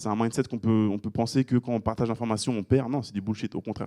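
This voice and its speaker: A man speaks in a monotone, flat intonation with a dark, mellow tone and a dry, close sound with no echo. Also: very clean recording, silent background. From France, Île-de-France (Pontoise). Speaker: real estate investor and business coach. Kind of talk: casual group discussion. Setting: meeting room with small group. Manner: casual, hesitant with fillers.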